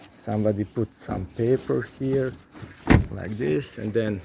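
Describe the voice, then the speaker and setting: The speaker has a non-native accent and talks at a fairly slow pace. Noticeable background noise is present. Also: man. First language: not English. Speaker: car repair vlogger. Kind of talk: tutorial. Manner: halting, many repeated words.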